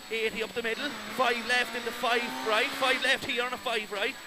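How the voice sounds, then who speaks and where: Over noticeable background noise, a man with an Irish accent uses a raised, projected voice at an extremely high pitch, with a dry sound and no echo. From Ireland. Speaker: rally co-driver. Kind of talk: rapid-fire rally pacenotes read aloud over engine noise. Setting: inside a rally car during a stage. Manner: clipped, urgent, relentless stream of numbers and calls; repeats warnings insistently, exhorting driver. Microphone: headset.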